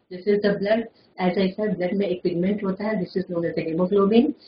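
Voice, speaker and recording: There is light background noise and audible room echo. A woman talks at a fairly quick pace. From India. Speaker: school lecturer. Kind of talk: lecture. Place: office. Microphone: webcam.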